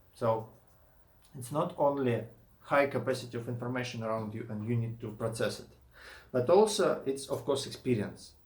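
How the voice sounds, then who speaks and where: With a Russian accent, a man of medium pitch speaks at a moderate pace with fairly even intonation, long, frequent pauses and audible room echo. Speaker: YouTuber and indie game developer. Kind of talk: casual vlog monologue. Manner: halting, with many fillers and restarts.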